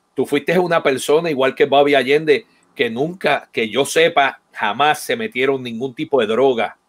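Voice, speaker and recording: With ordinary pitch variation, a man talks at a moderate pace in a fairly high voice. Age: 50s. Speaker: percussionist and online show host; online show host. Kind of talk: live-streamed interview. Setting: online live stream. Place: home room.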